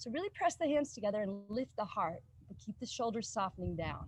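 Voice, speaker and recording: A woman's calm, soothing tone at a moderate pace. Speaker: yoga teacher. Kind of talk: guided yoga class.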